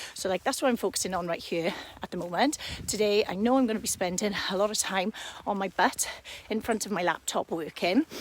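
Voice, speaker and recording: Speaking at a fairly quick pace, a woman with a slight Welsh accent shows ordinary pitch variation. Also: medium pitch for a woman. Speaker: fitness coach. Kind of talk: live stream talk to viewers. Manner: casual, hesitant fillers.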